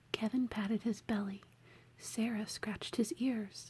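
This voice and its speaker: A woman talks at a very slow pace in a fairly high pitch with ordinary pitch variation. Her tone is relaxed, dark and mellow, and somewhat breathy. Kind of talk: ASMR children's book reading. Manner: soft-spoken, whispering, relaxed.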